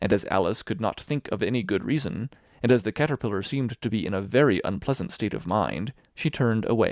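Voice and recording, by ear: Someone is reading aloud. They do it in a natural voice.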